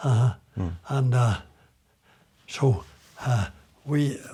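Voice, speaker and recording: The man's voice sits at a medium pitch. It comes across somewhat breathy. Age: 80s+. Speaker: retired builder. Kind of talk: interview answer.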